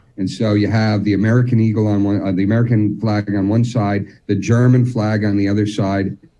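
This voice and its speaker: A man with a New Jersey accent talks at a fairly quick pace with hardly any pauses. His fairly low voice has a dark, mellow tone and a monotone, flat intonation. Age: 50s. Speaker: militaria expert. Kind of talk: casual chat.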